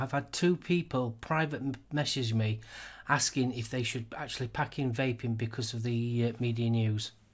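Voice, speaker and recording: With a normal speaking voice, a man talks at a moderate pace and with fairly even intonation on a very clean recording against a silent background. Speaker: podcast co-host. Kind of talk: casual chat about vaping news.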